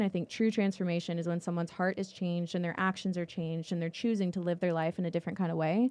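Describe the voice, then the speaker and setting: A woman with an American accent talks at a very fast pace in a medium pitch and a dark, mellow tone. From Texas. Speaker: podcast host. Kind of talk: interview outro.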